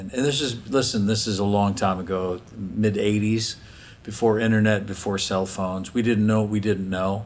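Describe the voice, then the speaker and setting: Audible room echo around a man's fairly low pitch, with fairly even intonation at a moderate pace. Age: 60s. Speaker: folk singer-songwriter. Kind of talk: interview.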